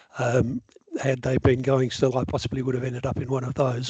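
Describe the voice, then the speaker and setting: With an Australian accent, a man talks at a medium pitch in a somewhat breathy voice, the sound dry and close with no echo. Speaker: software developer. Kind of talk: lecture. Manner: fast when enthusiastic.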